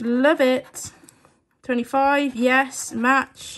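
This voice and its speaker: A woman talks with a British accent. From UK. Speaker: scratchcard video creator. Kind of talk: casual scratchcard commentary. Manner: animated. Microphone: phone near.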